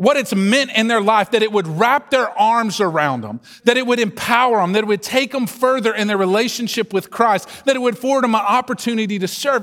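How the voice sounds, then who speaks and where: In a Southern US accent, the voice comes across with an animated tone. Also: man. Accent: Southern drawl. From US South. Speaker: pastor. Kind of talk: sermon. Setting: church. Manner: slow.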